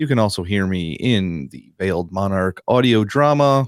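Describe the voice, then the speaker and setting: This man has a plain, everyday voice, fairly low in pitch with lively intonation, recorded with a dry, close sound with no echo. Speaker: podcast co-host and audio board operator. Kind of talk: casual banter reading news stories.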